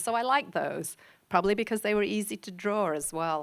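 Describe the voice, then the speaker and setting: A woman speaks with a slight Liverpool accent and ordinary pitch variation. The recording is very clean, with a silent background. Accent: English accent, Liverpool tinge. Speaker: professor. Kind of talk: talk to an audience. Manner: conversational, many fillers.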